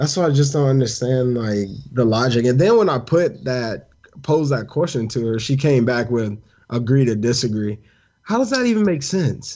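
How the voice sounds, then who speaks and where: A man speaks in an unremarkable speaking voice at medium pitch. His pace is moderate, with ordinary pitch variation. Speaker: podcast co-host. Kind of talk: casual chat.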